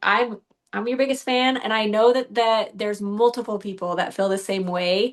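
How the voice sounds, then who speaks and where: This woman has an ordinary speaking voice with a fairly high pitch. Her intonation stays fairly even. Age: 40s. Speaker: bodybuilding competitor. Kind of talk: podcast interview.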